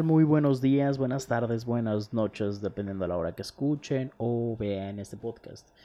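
A man's plain, everyday voice at medium pitch, moderate pace with hardly any pauses, and lively intonation. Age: 20s. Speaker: podcaster. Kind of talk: casual monologue.

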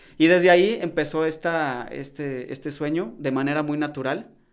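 On a very clean recording with a silent background, a man with a central Mexican accent speaks at a fairly high pitch with ordinary pitch variation. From Mexico, León (Guanajuato). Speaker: retired footballer. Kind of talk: interview.

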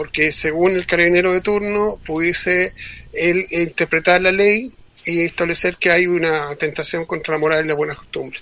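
Bright and sharp in tone, a man's high voice moves at a moderate pace with fairly even intonation. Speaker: nudism activist. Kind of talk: interview.

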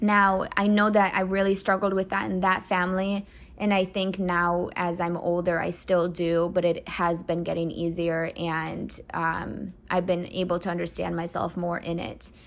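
A woman with an unremarkable speaking voice talks at a moderate pace with hardly any pauses. Her pitch is fairly low and her intonation fairly even. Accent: American. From US Midwest (Michigan), adopted from Russia at six. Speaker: adoptee sharing her story. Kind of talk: personal testimony.

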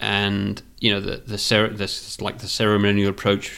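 A man speaks quite fast at a fairly low pitch, flat and monotone, with vocal fry, in a very clean recording with a silent background. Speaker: podcast co-host. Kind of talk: casual interview conversation.

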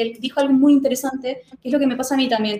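Her voice sits high in pitch for a woman. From Chile. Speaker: manga youtuber and instagramer. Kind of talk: casual chat.

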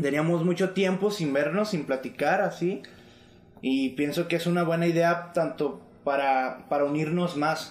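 A man with a Mexican accent speaks in a high pitch at a fairly slow pace. His pitch varies in an ordinary way and his loudness stays very even. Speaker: music producer. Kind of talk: casual chat.

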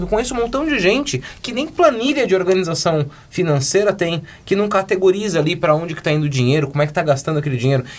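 Over noticeable background noise, a man talks very fast with very wide pitch swings. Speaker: podcast co-host. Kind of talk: casual chat.

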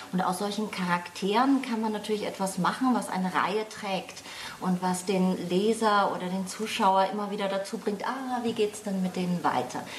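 Noticeable background noise and audible room echo fill the recording. A woman speaks there with ordinary pitch variation. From Franconia, Germany (Lohr am Main near Würzburg). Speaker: crime novelist. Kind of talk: casual chat.

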